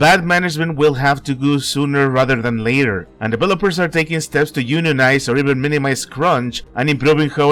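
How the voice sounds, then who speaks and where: A man's ordinary speaking voice, fairly high in pitch with ordinary pitch variation, at a fairly quick pace. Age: 30s. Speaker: gaming commentator YouTuber. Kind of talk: personal opinion video essay.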